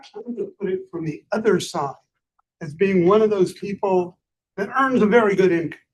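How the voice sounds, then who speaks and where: This man speaks at a moderate pace, his pitch high for a man, with ordinary pitch variation. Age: 70s. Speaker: audience member. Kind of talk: public Q&A comment.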